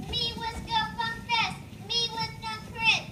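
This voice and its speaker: A woman uses a put-on character voice at an extremely high pitch. She speaks at a fairly slow pace with music in the background. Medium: read story. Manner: broken caveman-style speech.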